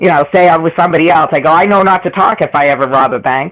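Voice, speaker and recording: The speaker rattles along at a very fast pace with a Boston accent. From Boston area. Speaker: online panel participant. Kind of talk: casual chat.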